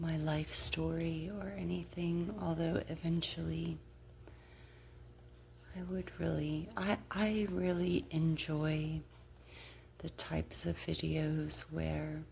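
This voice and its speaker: The soft-spoken voice has a relaxed tone and a very slow pace, broken by long, frequent pauses. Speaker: ASMR creator. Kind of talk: ASMR whispered-style ramble to camera while playing a card game. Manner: soft-spoken, relaxed.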